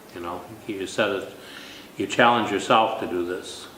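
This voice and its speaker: Noticeable background noise and audible room echo surround a man with an American accent whose intonation is fairly even. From Minnesota. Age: 60s. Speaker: contest winner. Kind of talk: interview. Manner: halting.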